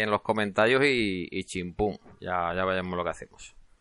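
A man with a slight Murcian accent speaks at a moderate pace and fairly low pitch, with a bright, sharp tone, fairly even intonation and a quiet background. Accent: slight Murcian (Cartagena). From Spain, Cartagena (Murcia). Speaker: podcast host, hobby game developer. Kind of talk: casual solo podcast monologue. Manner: hesitant, with frequent repetitions.

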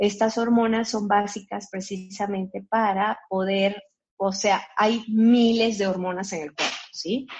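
A woman, somewhat breathy, at a very slow pace with monotone, flat intonation. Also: medium pitch for a woman. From Colombia. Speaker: physician. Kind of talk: interview. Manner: halting, with many fillers.

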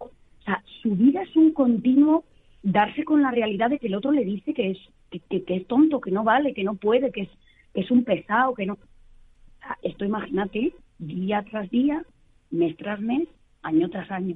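The pace is moderate. Long, frequent pauses break up the speech. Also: woman, fairly high pitch for a woman. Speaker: psychologist. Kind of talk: interview.

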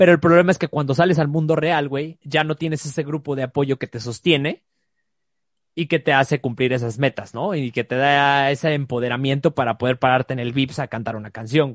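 Speaking at a fairly quick pace, a man uses a fairly high pitch with ordinary pitch variation. The sound is dry and close, with no echo. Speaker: life coach. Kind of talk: casual chat.

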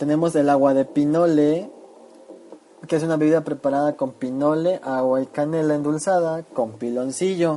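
A man with an ordinary speaking voice, fairly high in pitch, talks at a moderate pace with fairly even intonation. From Chiapas, Mexico. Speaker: food segment presenter. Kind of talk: scripted narration.

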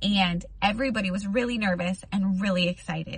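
This is a normal speaking voice with ordinary pitch variation, delivered at a fairly slow pace. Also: woman. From United States. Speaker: youtuber. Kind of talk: testimony.

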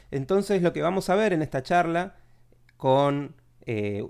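In a very clean recording with a silent background, a man with an Argentine accent talks at a fairly slow pace, his fairly high pitch rising and falling with lively intonation. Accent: Argentine Spanish (Rioplatense). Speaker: psychology podcast host. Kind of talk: solo introduction; casual interview.

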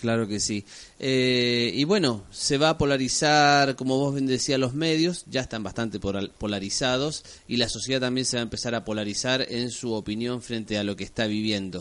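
Speaking with a plain, everyday voice, a man keeps to a medium pitch, a moderate pace and ordinary pitch variation. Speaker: radio host. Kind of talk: casual radio interview.

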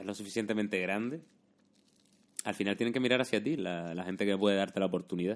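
His pitch varies in an ordinary manner. The man's voice is fairly low. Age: 30s. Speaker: YouTuber and podcast host. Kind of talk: casual chat.

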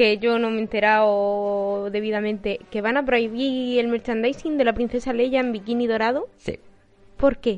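Speaking at a moderate pace, a woman uses an ordinary speaking voice pitched fairly high, with fairly even intonation. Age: 20s. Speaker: podcast co-host. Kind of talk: casual chat.

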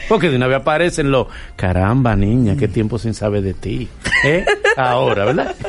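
Through noticeable background noise, a man with medium pitch and lively intonation speaks at a fairly quick pace. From Dominican Republic. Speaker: radio host. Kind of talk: interview. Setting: studio.

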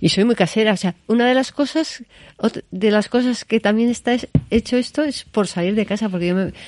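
Fairly high in pitch, a woman talks at a fairly quick pace with ordinary pitch variation. She has an unremarkable speaking voice, and the sound is dry and close with no echo. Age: 60s. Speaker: gallery owner. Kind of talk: interview. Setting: in the guest's gallery.

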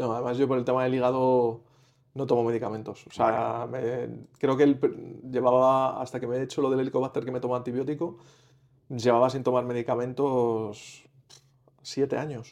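A man's voice sits at a medium pitch, flat and monotone in intonation, delivered at a moderate pace. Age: 40s. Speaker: patient seeking nutrition advice. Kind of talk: consultation. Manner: halting.

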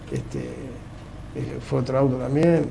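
A man talks at a fairly slow pace. Audible room echo and noticeable background noise are present. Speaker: rally driver. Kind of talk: radio interview.

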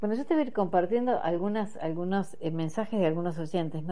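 A woman's dark, mellow voice comes through with audible room echo. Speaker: radio host. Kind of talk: radio interview. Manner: hesitant, many fillers.

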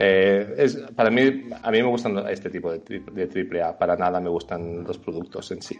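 A man with a plain, everyday voice and a fairly low pitch talks at a moderate pace with hardly any pauses. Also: ordinary pitch variation. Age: 30s. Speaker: video game designer and illustrator. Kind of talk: interview.

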